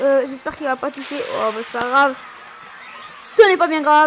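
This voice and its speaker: With noticeable background noise behind her, a woman speaks at a fairly quick pace in a high pitch. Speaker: gaming youtuber. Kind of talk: live gameplay commentary. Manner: fast; animated.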